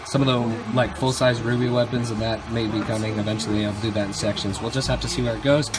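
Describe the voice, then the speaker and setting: Talking at a very fast pace, a man is heard through noticeable background noise. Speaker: college vlogger. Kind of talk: casual vlog chat. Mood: enthusiastic, pleased. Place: home room. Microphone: phone near.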